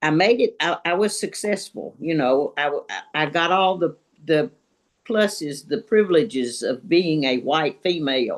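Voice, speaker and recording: Music plays behind a woman with a fairly low pitch. She speaks at a moderate pace with lively intonation. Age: 80s+. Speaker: retired teacher, book club member. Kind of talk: casual group discussion. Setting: video call. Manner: halting.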